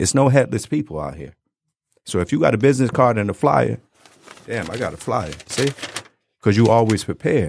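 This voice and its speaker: A man with a medium pitch and vocal fry speaks at a fairly quick pace, with very wide pitch swings and long, frequent pauses. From Detroit. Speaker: barber. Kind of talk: casual chat. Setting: studio.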